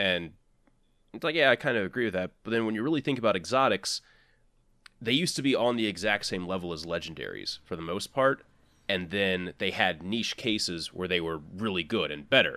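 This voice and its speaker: On a very clean recording with a silent background, a man with a fairly low, bright and sharp voice talks at a fairly quick clip with lively intonation. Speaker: podcast host. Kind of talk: casual chat.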